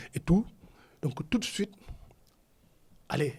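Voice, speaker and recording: Delivered at a fairly slow pace, this man's speech has lively intonation. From Senegal. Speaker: actor. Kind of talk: interview. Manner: casual, code-switching French and Wolof; halting, repeats words.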